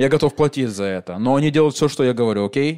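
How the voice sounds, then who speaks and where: A man's voice is heard. It sits at a fairly high pitch. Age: 30s. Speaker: comedian hosting live podcast. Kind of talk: live stand-up style podcast with audience. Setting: stage with live audience. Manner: animated.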